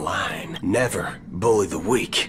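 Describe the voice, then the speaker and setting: A man puts on a drawling character voice. Clear background noise runs underneath. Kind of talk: western gunslinger. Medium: video game. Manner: casual drawl, folksy.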